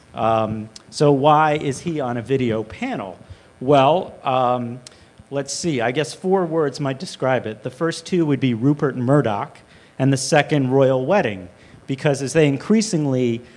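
Ordinary pitch variation from a man speaking at a fairly slow pace. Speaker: panel moderator. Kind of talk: panel introduction. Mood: light, joking. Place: hall. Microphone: handheld.

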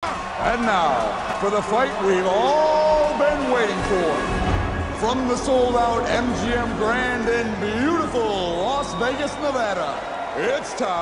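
A man at a very slow pace with hardly any pauses, over loud background noise. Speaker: actor; ring announcer. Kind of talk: ring announcer introduction of fighters, film performance. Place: stadium. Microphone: handheld.

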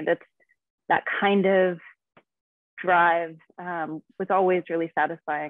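Over a quiet background, a woman talks at a moderate pace and medium pitch with fairly even intonation, the sound dry with no echo. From US West, Nevada. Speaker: fitness and nutrition coach; nutrition coach. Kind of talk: casual interview. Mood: calm, informative. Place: home room. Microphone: video call.

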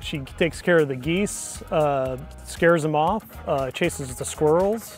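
A man at a fairly slow pace with ordinary pitch variation, dry sound with no echo, and faint music in the background. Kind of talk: interview answer. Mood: proud, warm about his dog. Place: open country. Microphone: lapel.

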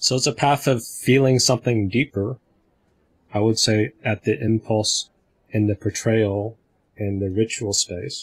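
Against a quiet background, a man speaks at a fairly slow pace. His voice is somewhat breathy, with fairly even intonation. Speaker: community discussion facilitator. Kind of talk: group discussion on video call. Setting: video call.

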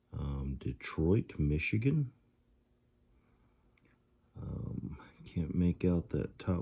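A man speaks very slowly with a very deep, low pitch. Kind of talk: tutorial. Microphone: phone near.

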